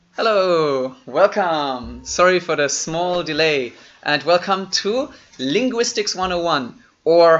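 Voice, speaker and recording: A man speaks with a German accent and a high pitch. His intonation is lively. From Germany. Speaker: online seminar host. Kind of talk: live online seminar introduction. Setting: live stream video call. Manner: casual, conversational.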